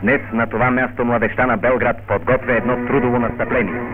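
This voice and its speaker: A man talks at a fairly slow pace with music playing in the background. His voice sits at a medium pitch. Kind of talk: newsreel narration.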